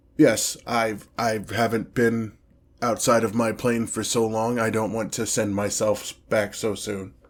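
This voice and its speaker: A raspy, put-on character voice, flat and monotone at a fairly slow pace, on a very clean recording with a silent background. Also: man, medium pitch for a man. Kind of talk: ASMR fantasy roleplay. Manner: haughty, commanding.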